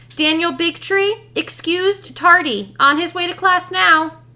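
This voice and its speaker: A put-on character voice unfolds at a fairly slow pace. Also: woman, extremely high pitch for a woman. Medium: read story. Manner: clipped, brisk.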